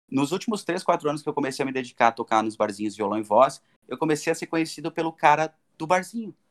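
Close and dry with no echo, a man talks at a very fast pace with lively intonation and a fairly high pitch. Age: 30s. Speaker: bar musician. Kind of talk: casual chat.

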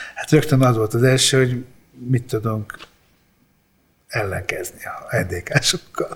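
A man at a very slow pace, with long, frequent pauses and ordinary pitch variation. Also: medium pitch for a man. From Hungary, from age five (born in Apulia, Italy). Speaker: rock drummer. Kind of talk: interview storytelling.

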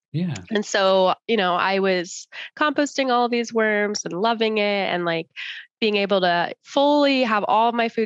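A woman speaks in a normal speaking voice with an American accent, medium in pitch and with ordinary pitch variation. Her fairly slow delivery comes through a dry, close sound with no echo. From Arizona, US (Tucson, Chandler, Tempe). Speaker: nonprofit founder. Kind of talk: interview.

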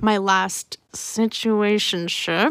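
A woman talks in a plain, everyday voice, with ordinary pitch variation. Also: dry, close sound with no echo, very clean recording, silent background. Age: young. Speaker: podcast co-host. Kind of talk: casual chat.

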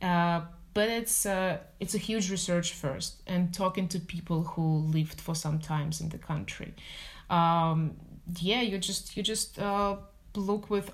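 A woman's fairly low, somewhat breathy voice at a fairly slow pace, with fairly even intonation. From Russia, Moscow. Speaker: business development executive. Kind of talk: interview.

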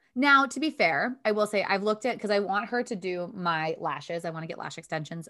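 A woman with an American accent speaks at a fairly quick clip in a bright, sharp tone, her pitch swinging very widely, on a very clean recording with a silent background. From Michigan. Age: 20s. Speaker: beauty podcast co-host. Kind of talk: casual chat.

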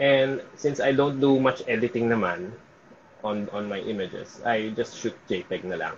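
A man's medium-pitched, unremarkable speaking voice at a fairly slow pace, with ordinary pitch variation. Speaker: events and sports photographer. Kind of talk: casual interview.

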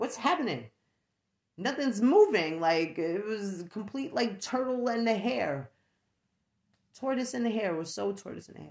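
Using very wide pitch swings and big swings in loudness, a woman with a fairly high voice and vocal fry speaks with long, frequent pauses. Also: moderate pace. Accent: New York. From New York. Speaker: podcast host. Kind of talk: casual solo podcast monologue. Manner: chatty, laughs often.

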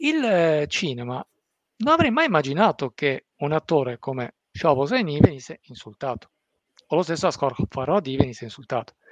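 Heard with a dry, close sound and no echo, a man with a normal speaking voice talks at a moderate pace with lively intonation. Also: fairly high pitch for a man. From Italy, Abruzzo and Apulia. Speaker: football and Iran commentator. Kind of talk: live-streamed discussion.

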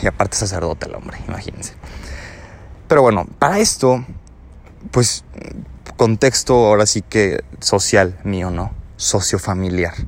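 In a Mexican accent, a man speaks at a fairly slow pace with a fairly low pitch. His pitch varies in an ordinary way, and he takes long, frequent pauses. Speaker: podcaster. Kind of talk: personal monologue. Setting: outdoors.

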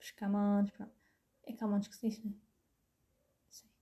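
A woman speaks at a moderate pace in a somewhat breathy, fairly high voice. Her tone is dark and mellow. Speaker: podcaster. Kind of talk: casual monologue. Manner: animated.

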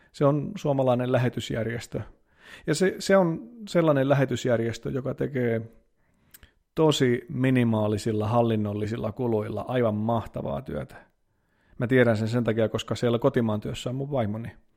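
A man's dark, mellow voice moves with ordinary pitch variation. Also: medium pitch for a man, moderate pace. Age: 30s. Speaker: priest and podcaster. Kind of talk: casual solo podcast monologue.

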